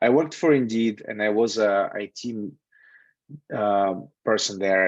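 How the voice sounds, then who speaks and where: A man at a moderate pace, dry with no echo, over a quiet background. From Russia. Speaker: software QA tester and instructor. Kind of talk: online lecture with live Q&A. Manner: casual, with frequent fillers. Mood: relaxed, candid. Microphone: video call.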